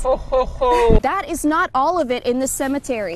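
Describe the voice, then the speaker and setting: Over noticeable background noise, a woman with an American accent sounds upbeat. Her intonation is lively. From Boston. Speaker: TV news reporter. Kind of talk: live on-location stand-up, casual.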